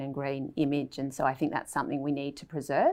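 Very deep and low in pitch, a woman with an Australian accent speaks at a fairly quick pace against a quiet background. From Australia, Melbourne. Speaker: veterinarian. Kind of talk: casual chat.

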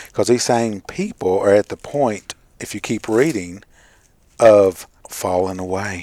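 A man speaks in an ordinary speaking voice, fairly low in pitch, at a fairly slow pace. His pitch varies in an ordinary way while his loudness swings widely. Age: 40s. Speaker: radio Bible study co-host. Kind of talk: casual Bible study discussion.

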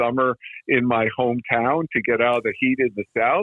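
A man speaks in a normal speaking voice at medium pitch. His pace is moderate and his pitch variation ordinary. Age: 60s. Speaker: dog trainer. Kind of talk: interview.

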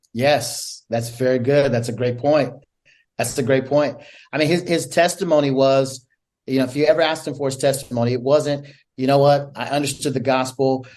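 With an American accent, a man talks at a fairly quick pace in a fairly high pitch, using fairly even intonation and an unremarkable speaking voice. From upstate New York. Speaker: ministry director. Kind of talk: interview testimony.

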